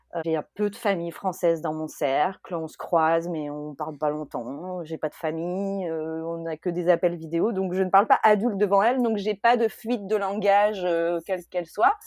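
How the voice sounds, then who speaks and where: A woman speaks in a fairly low pitch with ordinary pitch variation, at a moderate pace with hardly any pauses. Her loudness swings widely. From France. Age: 30s. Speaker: expat mother. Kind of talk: podcast interview testimony. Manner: hesitant, many fillers.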